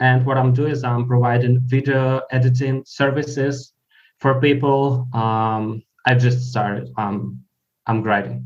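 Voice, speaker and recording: A man speaks at a fairly slow pace in a Ukrainian accent, his pitch medium. His intonation is monotone and flat. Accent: Ukrainian-accented English (Russian speaker). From Ukraine. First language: Russian. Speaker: freelance video editor. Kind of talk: casual chat. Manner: halting.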